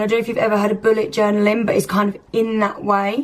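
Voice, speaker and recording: Her voice holds a medium pitch. The woman's intonation changes only a little. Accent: British. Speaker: lifestyle vlogger. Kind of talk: casual vlog talk. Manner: chatty.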